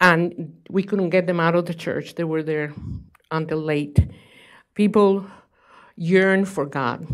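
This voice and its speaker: On a very clean recording with a silent background, a woman with a Spanish accent speaks at a fairly low pitch and fairly slow pace, with fairly even intonation and long, frequent pauses. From Cuba. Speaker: author. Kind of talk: speech. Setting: stage with audience.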